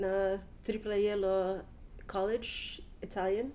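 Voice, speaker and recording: This woman has a medium pitch and a dark, mellow tone, with a Papua New Guinean accent. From Papua New Guinea, Port Moresby. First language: Tawala. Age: 30s. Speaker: language speaker interviewee. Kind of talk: personal account in Tok Pisin. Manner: halting, many fillers.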